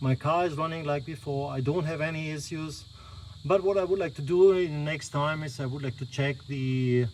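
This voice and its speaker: A speaker with a non-native accent talks at a moderate pace over noticeable background noise. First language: not English. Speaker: car owner vlogger. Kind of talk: tutorial. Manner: halting.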